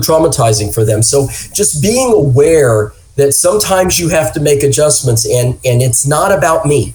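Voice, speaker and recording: With music playing behind him, a man speaks at a moderate pace, his fairly high voice carrying lively intonation. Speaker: public safety wellness director. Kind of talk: interview conversation.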